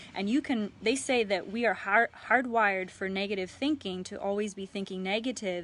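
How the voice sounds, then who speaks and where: A woman speaks at a moderate pace in a medium pitch with ordinary pitch variation. She barely pauses at all. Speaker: life coach. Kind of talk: live stream talk. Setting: live video stream. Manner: halting.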